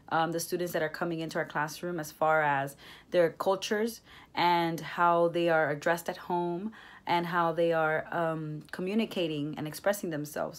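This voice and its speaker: A woman with a Spanish accent, fairly low pitch, moderate pace and fairly even intonation, on a very clean recording with a silent background. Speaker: education student. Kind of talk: class reflection monologue. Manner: hesitant, many fillers.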